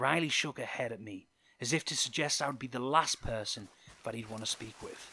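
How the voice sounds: The reading is delivered in a natural reading voice.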